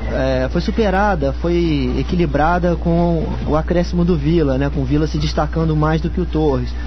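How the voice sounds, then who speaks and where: Through noticeable background noise, a man with a very deep, low pitch speaks at a moderate pace with hardly any pauses, very even loudness and fairly even intonation. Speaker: football analyst, match data researcher. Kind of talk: radio interview answer, analytical.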